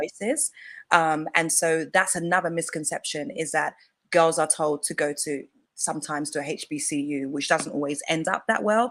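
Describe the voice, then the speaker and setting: In an English accent, a woman speaks at a moderate pace in a very deep, low pitch with ordinary pitch variation. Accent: English accent, clearly noticeable. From England. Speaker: femininity coach. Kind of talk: live-stream interview chat. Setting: online live stream.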